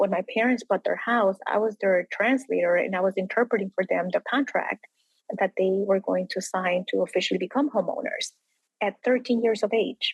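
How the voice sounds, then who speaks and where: A woman's somewhat breathy voice at medium pitch, dry and close with no echo. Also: ordinary pitch variation, moderate pace, very even loudness. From immigrant raised in Will County, Illinois. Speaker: state representative. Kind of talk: interview.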